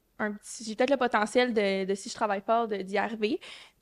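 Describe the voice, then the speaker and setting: A woman talks at a very fast pace in a fairly high pitch. Her intonation is monotone and flat, and the sound is dry and close with no echo. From Quebec, Saguenay-Lac-Saint-Jean. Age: 20s. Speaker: medical student. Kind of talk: podcast interview. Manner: hesitant, many fillers.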